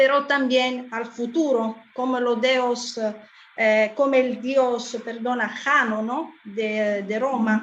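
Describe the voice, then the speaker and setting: Very slowly and in a monotone, flat way, a woman speaks at a high pitch amid noticeable background noise and audible room echo. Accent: non-native. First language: not Spanish (speaking Spanish). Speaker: conference moderator. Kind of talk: conference moderation, thanks and summary. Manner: halting, many fillers.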